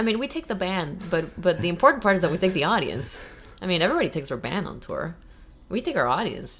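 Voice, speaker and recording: In a slight Peruvian accent, a woman talks at a very fast pace and a medium pitch with very wide pitch swings. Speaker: jazz saxophonist and bandleader. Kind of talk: casual chat. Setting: podcast interview.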